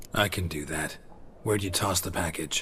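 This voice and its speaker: Against clear background noise, a man puts on a character voice that is raspy and very deep in pitch, delivered at a moderate pace. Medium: video game. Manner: dry, playful.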